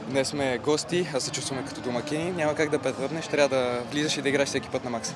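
A man talks at a fairly quick pace with a fairly high pitch and monotone, flat intonation. The sound is dry with no echo, though background noise is noticeable. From Bulgaria. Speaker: footballer. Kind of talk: post-match interview. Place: stadium. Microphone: handheld.

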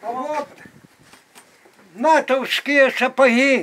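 A man's extremely high voice at a very slow pace, with light background noise. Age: 80s+. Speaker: village farmer, horse and bee keeper. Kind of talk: interview answer.

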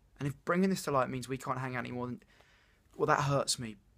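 A man speaks against a quiet background. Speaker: actor performing a monologue. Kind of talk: dramatic monologue, confession of love. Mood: earnest, vulnerable, a bit anxious. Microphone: phone near.

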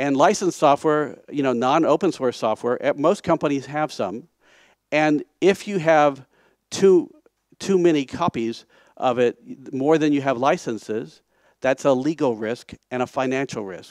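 A man with an American accent speaks at a fairly slow pace in a plain, everyday voice, fairly high-pitched with ordinary pitch variation, the sound dry with no echo over a quiet background. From United States. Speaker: conference speaker, software project founder. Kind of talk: conference talk. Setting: stage. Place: hall.

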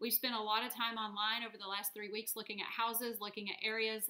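Against a quiet background, a woman with an American accent speaks in a monotone, flat intonation and a bright, sharp tone. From US South, North Texas (Dallas area). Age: 30s. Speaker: vlogger. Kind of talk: personal video blog. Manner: hesitant, with fillers. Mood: hopeful, earnest. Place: home room. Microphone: webcam.

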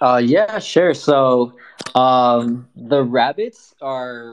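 A man at medium pitch with an American accent. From Southern California. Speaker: digital artist. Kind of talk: casual chat.

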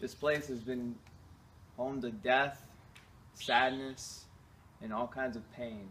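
Light background noise sits behind a man whose tone is bright and sharp and whose intonation is fairly even. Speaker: urban explorer host. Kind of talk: dramatic intro narration. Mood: spooky, dramatic storytelling. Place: garden. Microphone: camera far.

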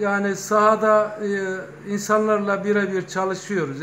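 Over light background noise, a man speaks at a high pitch and a fairly slow pace. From Turkey, Kozan (Adana); Turkey. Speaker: retired bank manager and local party official; local politician. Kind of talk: interview. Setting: news office visit. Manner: hesitant with filler sounds. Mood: earnest, proud. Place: shop. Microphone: phone near.

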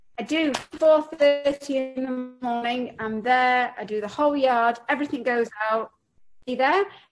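The voice moves at a fairly slow pace with ordinary pitch variation as faint music plays in the background. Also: woman, high pitch for a woman. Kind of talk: interview answer. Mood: cheerful, relaxed. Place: home room. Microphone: video call.

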